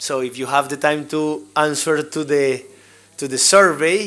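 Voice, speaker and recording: With a strong Colombian accent, a man speaks very slowly at a fairly high pitch in a bright, sharp tone. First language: Spanish. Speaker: school safety trainer. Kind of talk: workshop presentation.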